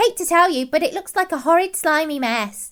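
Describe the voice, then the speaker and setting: In a put-on character voice, a woman squeaks at an extremely high pitch with very wide pitch swings, a playful tone and a fairly quick pace. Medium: audio drama. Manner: chirpy, self-satisfied, playful.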